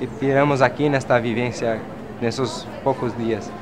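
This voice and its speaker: The pace is fairly slow. Background noise is noticeable throughout. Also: man. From Brazil. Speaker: social movement activist. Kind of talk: interview. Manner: hesitant. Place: street.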